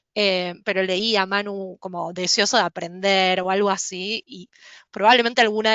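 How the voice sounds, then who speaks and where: Fairly even intonation at a moderate pace, in a Rioplatense accent. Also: woman. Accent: Rioplatense Spanish (porteño). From Buenos Aires, Argentina. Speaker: HR professional, company speaker. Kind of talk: online presentation.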